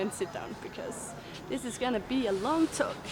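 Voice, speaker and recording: Loud and high-pitched, a woman's voice swings very widely in pitch. Noticeable background noise sits behind her. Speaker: travel vlogger. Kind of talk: casual vlog talk. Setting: outdoors.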